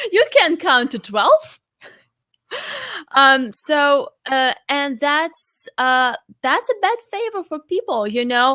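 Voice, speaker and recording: Very slowly and with long, frequent pauses, a woman with a non-native accent speaks in a raised, projected voice that is high-pitched, bright and sharp, swinging very widely in pitch. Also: dry, close sound with no echo. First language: not English. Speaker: life coach and fitness trainer. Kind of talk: interview. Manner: halting.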